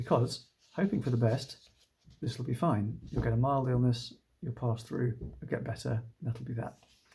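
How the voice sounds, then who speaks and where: A man with a British accent has a dark, mellow tone at a medium pitch, somewhat breathy. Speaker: doctor. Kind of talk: informational talk to camera. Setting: at home. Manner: calm.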